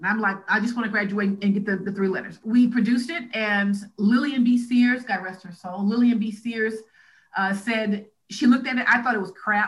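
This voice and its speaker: A woman speaks at a moderate pace with a fairly high pitch. Her voice is somewhat breathy, and her intonation stays fairly even. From US South, Alabama (Huntsville). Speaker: motivational speaker and media correspondent. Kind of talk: casual interview conversation.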